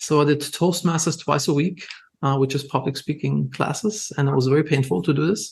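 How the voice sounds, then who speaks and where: A man speaks at a very fast pace in a German accent. His voice is fairly high and somewhat breathy. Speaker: entrepreneur. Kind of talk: podcast interview. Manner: casual, filler-heavy.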